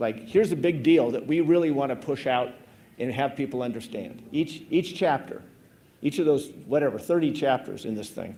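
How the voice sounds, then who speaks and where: With a US Midwestern accent, the speaker has a dark, mellow tone, a moderate pace and ordinary pitch variation. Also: man, fairly high pitch for a man. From Nebraska, US Midwest. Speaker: government climate scientist. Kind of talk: conference presentation. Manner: casual, informal.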